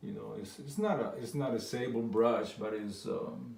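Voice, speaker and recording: With a slight non-native accent, a man speaks at a very slow pace amid noticeable background noise and audible room echo. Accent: foreign accent, slight. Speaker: painter. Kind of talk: painting tutorial. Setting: art studio. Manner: halting.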